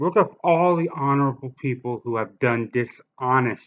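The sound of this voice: Medium-pitched male voice, its pitch shifting in an ordinary way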